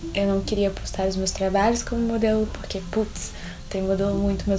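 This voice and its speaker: Moderate-paced female speech amid noticeable background noise and audible room echo. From Brazil, Belo Horizonte (Minas Gerais). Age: 20s. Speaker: podcast host, fashion design student. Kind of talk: solo podcast monologue, casual. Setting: at home. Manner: chatty, frequent laughs.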